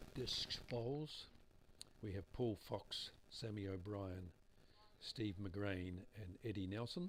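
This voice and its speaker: A man speaks in a New Zealand accent with a fairly low pitch. His intonation stays fairly even. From New Zealand, Hamilton. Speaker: bowls commentator. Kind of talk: live commentary. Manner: sparse, limited talking.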